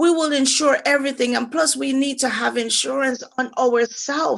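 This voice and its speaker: In a Jamaican accent, a woman speaks at a high pitch and a moderate pace. Her intonation stays fairly even. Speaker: financial advisor. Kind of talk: financial workshop presentation.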